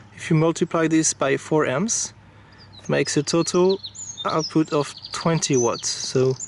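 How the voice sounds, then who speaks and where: Over noticeable background noise, a man talks with a non-native accent and ordinary pitch variation. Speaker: product reviewer. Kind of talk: product review tutorial. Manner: hesitant, many fillers.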